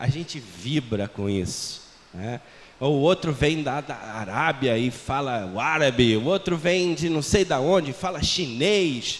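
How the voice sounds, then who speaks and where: A man's pitch swings very widely as he talks fairly slowly, with noticeable background noise present. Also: fairly high pitch for a man. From Portugal. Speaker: missionary. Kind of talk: sermon. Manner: conversational.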